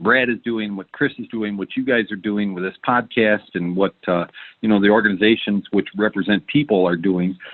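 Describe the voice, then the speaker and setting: A fairly low-pitched man with a Michigan accent, fairly even intonation and a moderate pace. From Michigan, US Midwest. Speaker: entrepreneur. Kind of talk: podcast interview. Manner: many filler words (um, uh).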